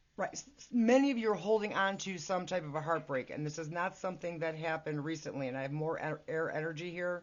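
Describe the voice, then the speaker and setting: Loudness swings widely as the speaker races along at a very fast pace with ordinary pitch variation and hardly any pauses. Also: woman, fairly low pitch for a woman. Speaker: tarot reader. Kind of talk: tarot reading. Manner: halting.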